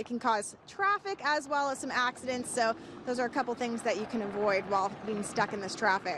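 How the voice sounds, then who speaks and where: Over noticeable background noise, a woman talks at a fairly quick pace in a fairly high voice with lively intonation. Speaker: TV news reporter. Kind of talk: live TV news field report.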